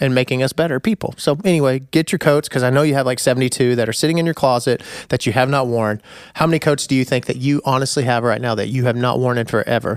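This man's pitch varies in an ordinary way as he rattles along very fast. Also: medium pitch for a man, very even loudness. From US Midwest. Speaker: podcast host. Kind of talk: casual chat.

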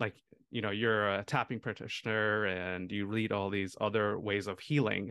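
With an American accent and a plain, everyday voice, a man speaks at a fairly quick pace and fairly low pitch, recorded dry and close with no echo against a quiet background. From India, then US from about age 8. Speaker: family physician. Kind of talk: interview.

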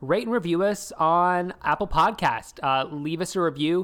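A man with an American accent speaks in a normal speaking voice at a moderate pace, with ordinary pitch variation. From US South. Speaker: podcast co-host. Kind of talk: casual chat. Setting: video call.

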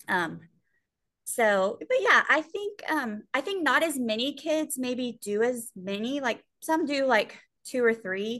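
Over a quiet background, a woman speaks at a very slow pace with very wide pitch swings. Her voice is high in pitch, with a bright, sharp tone. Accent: Texan. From Texas, Sweeny. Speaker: high school soccer coach. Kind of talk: casual chat.

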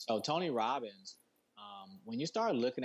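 A man with an American accent speaks in a plain, everyday voice. His intonation is lively and his pace moderate. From Detroit, Michigan. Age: 40s. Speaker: founder of a mental health business. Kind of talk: casual interview.

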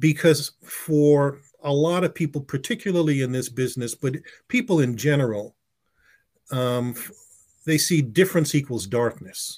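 A man's ordinary speaking voice, with a fairly high pitch, a moderate pace and ordinary pitch variation. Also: big swings in loudness, very clean recording, silent background. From US, West Indian family. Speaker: advertising executive and author. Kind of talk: interview.

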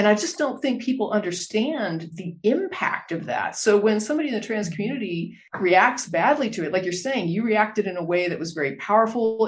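A woman with an American accent speaks at a moderate pace in an ordinary speaking voice, her medium pitch carried by lively intonation. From Texas. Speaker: podcast host. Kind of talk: casual interview.

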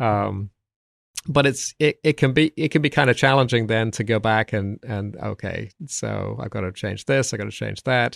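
A man with an American accent speaks at a medium pitch with ordinary pitch variation and vocal fry. The sound is dry and close with no echo, on a very clean recording with a silent background. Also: moderate pace. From south England. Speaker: Old Testament professor and commentary author. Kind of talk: interview conversation. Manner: hesitant, repeats words.

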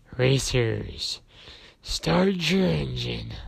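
A man performs a put-on character voice. It is growling and raspy.

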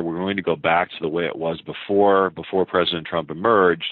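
A man with a very deep, low voice and an American accent. He speaks at a moderate pace in a flat monotone. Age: 50s. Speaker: foreign policy scholar and author. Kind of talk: interview. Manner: hesitant with frequent fillers.

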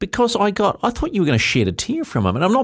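The recording is very clean and the background silent. The speaker, a man, has a New Zealand accent. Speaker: motorsport radio host. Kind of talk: casual studio interview. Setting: studio. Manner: animated, chatty.

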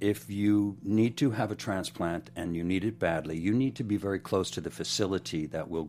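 Lively intonation and a fairly quick pace come from a man with a very deep, low pitch. The recording is very clean, with a silent background. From Pennsylvania, outside Philadelphia. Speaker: director and choreographer. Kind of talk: interview. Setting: studio.

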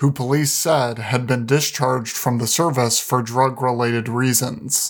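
A man with an unremarkable speaking voice talks at a moderate pace in a medium pitch with fairly even intonation. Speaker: news podcast host. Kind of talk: formal newsreading, scripted headline summaries. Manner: formal, even, measured.

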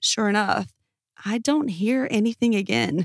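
A woman with an ordinary speaking voice talks at a moderate pace in a dry, close sound with no echo. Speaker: podcast host reading Reddit stories. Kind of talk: scripted true-crime horror narration, reading listener-style Reddit stories aloud.

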